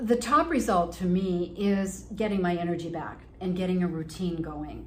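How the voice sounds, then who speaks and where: A woman speaks with ordinary pitch variation amid noticeable background noise. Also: fairly low pitch for a woman, moderate pace. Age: 70s. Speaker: fitness client. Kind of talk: testimonial interview.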